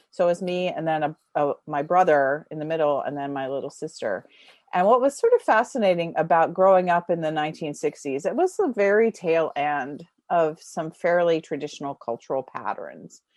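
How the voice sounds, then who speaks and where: A woman speaks in an ordinary speaking voice at a fairly low pitch and a moderate pace, with ordinary pitch variation. The sound is dry and close, with no echo. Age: 60s. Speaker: writer and teacher. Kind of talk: interview.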